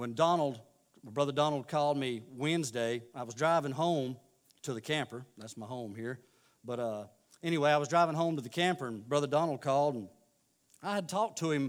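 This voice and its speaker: Speaking at a fairly quick pace in a Southern US accent, a man uses a fairly high voice with ordinary pitch variation and big swings in loudness. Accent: Southern American. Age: 40s. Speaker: lay preacher. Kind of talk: sermon. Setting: church. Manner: halting.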